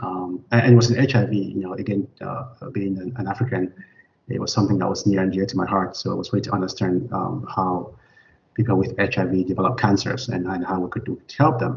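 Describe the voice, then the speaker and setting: Somewhat breathy, the voice goes at a fairly quick pace with ordinary pitch variation. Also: man. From Cameroon. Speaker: immunologist. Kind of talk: interview. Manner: halting, many repetitions and fillers.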